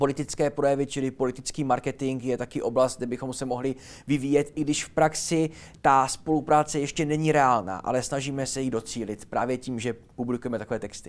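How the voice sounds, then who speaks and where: A man's medium-pitched voice, energetic in tone and at a very fast pace. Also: very clean recording, silent background. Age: young. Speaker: linguist and teacher. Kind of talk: interview.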